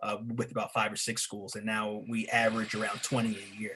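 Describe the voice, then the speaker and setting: Noticeable background noise runs through the clip. The man's voice sits at a medium pitch. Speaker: teacher and author. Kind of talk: panel discussion. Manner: halting, many fillers.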